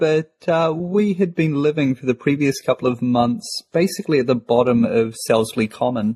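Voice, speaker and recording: With a New Zealand accent, a man speaks at a moderate pace in a dark, mellow, somewhat breathy, fairly high voice with lively intonation and hardly any pauses, the sound dry and close with no echo. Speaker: podcast co-host. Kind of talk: casual chat.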